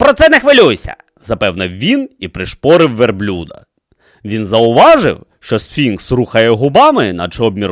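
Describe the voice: A quiet background behind plain reading aloud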